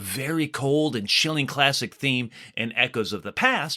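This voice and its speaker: The recording is very clean, with a silent background. A man speaks at a medium pitch and a moderate pace. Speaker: podcast host. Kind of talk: horror podcast narration.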